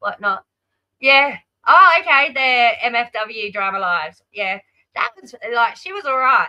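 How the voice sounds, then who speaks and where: In an Australian accent, a woman talks at a fairly slow pace with ordinary pitch variation. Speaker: live streamer. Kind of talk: casual chat. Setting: live stream.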